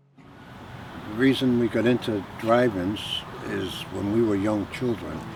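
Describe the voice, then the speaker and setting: Noticeable background noise sits behind a man with a fairly low pitch. He speaks at a fairly slow pace with fairly even intonation. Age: 60s. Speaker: drive-in regular. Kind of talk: interview.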